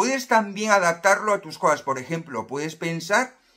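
Against a quiet background, a man talks at a moderate pace in a high pitch with ordinary pitch variation and a bright, sharp tone. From Spain, Galicia (A Coruña); Galicia, Spain. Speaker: self-help youtuber. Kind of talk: motivational monologue to camera. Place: home room. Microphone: phone near.

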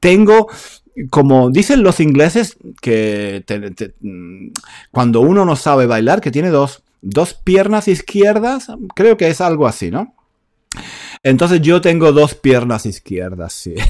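A man with a fairly high pitch speaks at a very slow pace, leaving long, frequent pauses. His pitch swings very widely. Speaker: online Spanish teacher. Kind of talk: live online lesson. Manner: animated. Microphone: close to a powerful mic.

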